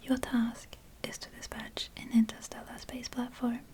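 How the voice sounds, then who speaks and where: Whispering in a relaxed tone, the voice moves at a very slow pace. Noticeable background noise sits behind it. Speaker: ASMR gaming content creator. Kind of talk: soft-spoken gameplay commentary. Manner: soft-spoken, whispery, relaxed.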